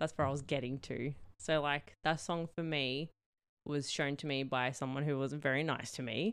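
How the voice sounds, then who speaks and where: Against a quiet background, a woman with an Australian accent talks at a moderate pace in a very deep, low voice with fairly even intonation. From New South Wales, Australia. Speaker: podcast co-host. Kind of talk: casual chat.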